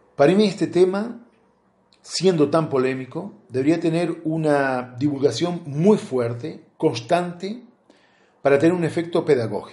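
Fairly high in pitch yet dark and mellow in tone, a man talks fairly slowly with ordinary pitch variation. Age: 50s. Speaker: interviewee. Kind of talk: testimony.

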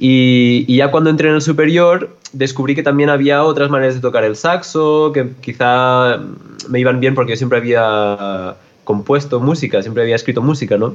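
A man's normal speaking voice at medium pitch, moderate in pace, with ordinary pitch variation. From Catalonia, Spain (Olot). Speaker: jazz musician and composer. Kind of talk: interview.

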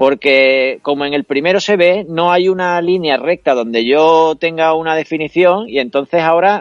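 A man with a normal speaking voice talks at a fairly high pitch with ordinary pitch variation and hardly any pauses. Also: moderate pace. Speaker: singer-songwriter and radio scriptwriter. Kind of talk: casual interview. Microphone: laptop camera setup, good sound.

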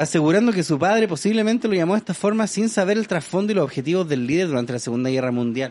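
A man with a high voice speaks at a very fast pace with hardly any pauses. His animated tone carries very wide pitch swings. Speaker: podcast host. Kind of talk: casual chat.

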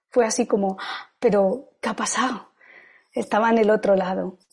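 A woman speaks in a dark, mellow tone. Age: 50s. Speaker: yoga and meditation teacher. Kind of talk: testimony. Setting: video call.

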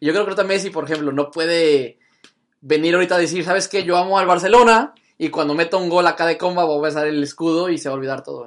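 Over a quiet background, a man speaks at a very fast pace in a high pitch with ordinary variation. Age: 20s. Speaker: podcast host. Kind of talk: casual chat.

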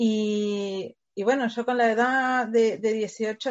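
A woman with a Uruguayan accent and ordinary pitch variation. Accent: noticeable Uruguayan. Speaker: education company staff member. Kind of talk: interview.

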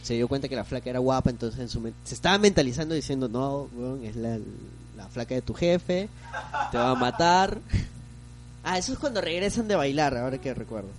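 A man with a medium pitch talks at a fairly quick pace with lively intonation, yet leaves long, frequent pauses. Noticeable background noise is present. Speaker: podcast co-host. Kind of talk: casual chat about films.

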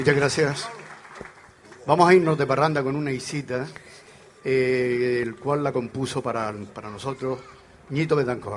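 At a moderate pace and medium pitch, a man talks with ordinary pitch variation and long, frequent pauses, amid audible room echo and noticeable background noise. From Canary Islands. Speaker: folk group member and song presenter. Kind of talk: live concert stage announcements. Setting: outdoor stage in a town square with audience.

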